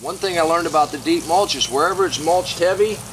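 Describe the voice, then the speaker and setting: A man speaks at a high pitch and a very fast pace, with fairly even intonation. Noticeable background noise runs underneath. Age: 60s. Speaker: gardening YouTuber. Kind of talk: casual garden tutorial. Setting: outdoors in garden. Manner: relaxed conversational.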